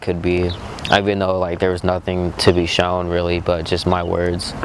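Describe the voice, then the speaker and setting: A man with a very deep, low pitch and a calm tone at a moderate pace amid noticeable background noise. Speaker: motivational vlogger. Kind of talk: motivational monologue. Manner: monotone.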